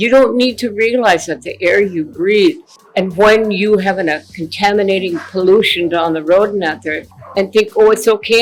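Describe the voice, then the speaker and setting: Over noticeable background noise, a woman at medium pitch speaks at a moderate pace with lively intonation and a passionate tone. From Ojibwe, North America. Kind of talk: interview answer.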